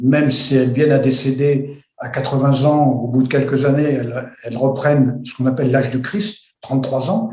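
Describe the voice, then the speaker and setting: A man talks at a moderate pace and medium pitch with fairly even intonation and hardly any pauses. Audible room echo is present. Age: 70s. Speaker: retired airline pilot. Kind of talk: testimony. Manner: halting, many hesitations.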